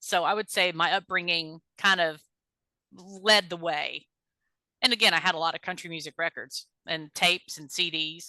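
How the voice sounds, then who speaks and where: Speaking in a Texan accent with a bright, sharp tone, a woman holds a fairly low pitch and fairly even intonation at a moderate pace, her loudness swinging widely. The sound is dry and close with no echo, over a quiet background. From Texas. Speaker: singer-songwriter. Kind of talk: interview. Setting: podcast interview. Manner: casual, chatty.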